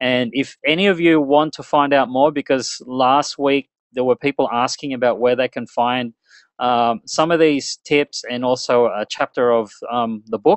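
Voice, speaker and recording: A man with an Australian accent, medium pitch and ordinary pitch variation at a moderate pace, in a dry, close sound with no echo and a quiet background. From Australia, Melbourne. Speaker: internet marketing webinar presenter. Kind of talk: webinar presentation. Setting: online webinar. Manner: conversational, filler-heavy.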